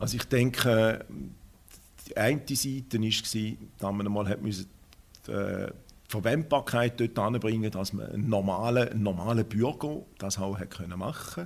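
A man with a fairly low pitch uses a normal speaking voice, and his pitch varies in an ordinary way. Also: fairly slow pace. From Schaffhausen, Switzerland. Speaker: diabetic patient. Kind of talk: interview.

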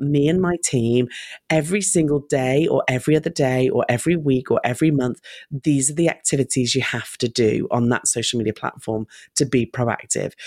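Lively in intonation, a woman with a very deep, low pitch speaks at a moderate pace in a very clean recording with a silent background and a dry, close sound with no echo. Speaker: marketing agency owner and speaker. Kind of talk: interview.

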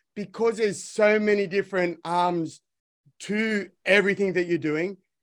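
A man's high-pitched voice with an Australian accent, fairly even intonation, and a very clean recording against a silent background. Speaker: podcast host and educator. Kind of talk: interview.

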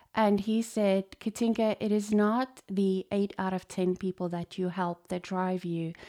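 A woman with a dark, mellow tone at medium pitch speaks at a fairly slow pace in a monotone, flat intonation, the recording very clean with a silent background and a dry, close sound with no echo. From South Africa, Johannesburg. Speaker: chiropractor. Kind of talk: podcast monologue.

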